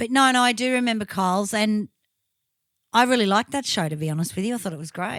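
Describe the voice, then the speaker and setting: The speech comes at a very fast pace in an Australian accent. The recording is very clean, with a silent background. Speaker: podcast host and tribute band singer. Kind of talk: casual chat.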